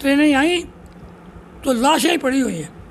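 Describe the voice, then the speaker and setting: Amid noticeable background noise, a man speaks at an extremely high pitch. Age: 90s. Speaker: Pakistan Movement activist. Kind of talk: interview answer, personal memories of partition.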